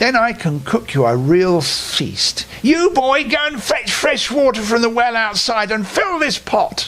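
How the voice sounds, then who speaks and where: Over clear background noise, a man puts on a wheezy, extremely high character voice and speaks at a fairly slow pace. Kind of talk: bedtime story. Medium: read story. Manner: crooning, wheedling.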